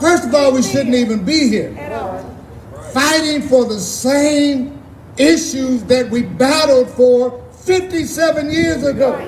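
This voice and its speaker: Pitched extremely high for a man, he talks at a very slow pace with ordinary pitch variation, with audible room echo and noticeable background noise around him. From Texas, Austin. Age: 60s. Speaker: activist. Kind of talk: rally speech. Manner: impassioned.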